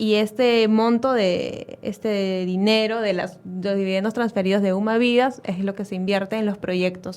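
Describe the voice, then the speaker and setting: A woman speaks in a normal speaking voice at medium pitch and a moderate pace. Her intonation stays fairly even, with hardly any pauses. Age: 20s. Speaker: operations and finance manager. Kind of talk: radio interview.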